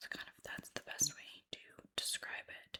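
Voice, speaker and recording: A woman is whispering. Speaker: ASMR creator playing a travel agent. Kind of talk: ASMR roleplay, friendly conversational talk to a customer. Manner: warm, friendly, chatty.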